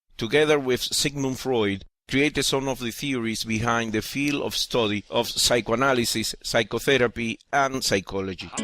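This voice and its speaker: A man with a Spanish accent, medium pitch and a bright, sharp tone, at a moderate pace with hardly any pauses and fairly even intonation. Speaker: atheist video essayist. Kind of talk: scripted narration.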